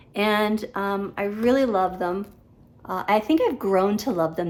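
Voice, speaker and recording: With an unremarkable speaking voice, a woman speaks at a medium pitch, ordinary pitch variation and a fairly slow pace. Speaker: cross-stitch vlogger. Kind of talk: casual show-and-tell vlog.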